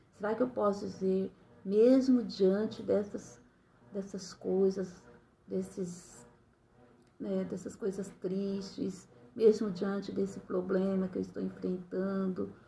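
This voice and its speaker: Somewhat breathy and dark, mellow in tone, a woman speaks very slowly at a medium pitch with fairly even intonation and long, frequent pauses. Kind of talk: bible reflection. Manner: smiling while speaking; hesitant, many fillers.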